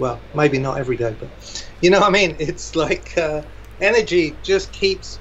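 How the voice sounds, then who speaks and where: A man talks at a fairly slow pace while noticeable background noise sits behind him. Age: 60s. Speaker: drummer and motivational speaker. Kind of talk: casual interview chat. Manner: animated.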